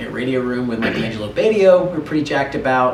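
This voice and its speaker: Noticeable background noise accompanies speech delivered fairly fast. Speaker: rock band singer. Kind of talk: interview. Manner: casual, conversational.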